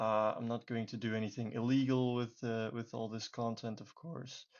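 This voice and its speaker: A man talks at a moderate pace with a non-native accent. His pitch sits at a medium level. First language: not English. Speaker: YouTube beginner making tutorial videos. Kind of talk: screen-recorded tutorial. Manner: hesitant, many filler words.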